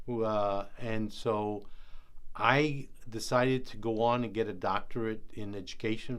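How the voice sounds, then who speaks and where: A New York accent with fairly even intonation and audible room echo. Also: man. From New York City (South Bronx), born in Puerto Rico. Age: 80s+. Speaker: education board member and researcher. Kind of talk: interview answers.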